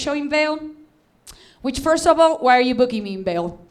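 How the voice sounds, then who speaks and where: Here a woman talks with a Venezuelan accent. Her pitch is high. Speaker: stand-up comedian. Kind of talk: stand-up. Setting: stage with audience. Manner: animated.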